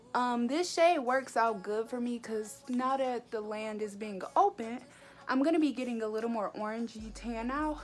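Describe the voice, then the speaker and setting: A woman with a fairly high voice talks at a moderate pace with ordinary pitch variation against noticeable background noise. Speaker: beauty vlogger. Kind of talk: makeup tutorial vlog. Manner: casual, chatty.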